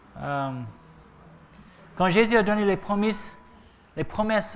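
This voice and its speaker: A man is speaking. The room's echo can be heard clearly. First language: English (speaking French). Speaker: preacher. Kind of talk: sermon. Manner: halting.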